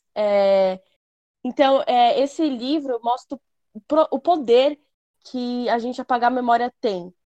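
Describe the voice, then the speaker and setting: A high-pitched woman at a fairly slow pace, with ordinary pitch variation and a dry, close sound with no echo. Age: young. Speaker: podcast co-host. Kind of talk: casual chat.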